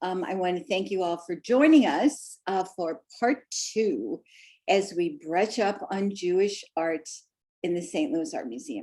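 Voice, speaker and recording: A woman's dark, mellow voice at medium pitch with a Missouri accent, fairly slow pace and very wide pitch swings. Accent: Midwestern Missouri. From US Midwest, Missouri. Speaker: art museum docent, presenter. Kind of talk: lecture.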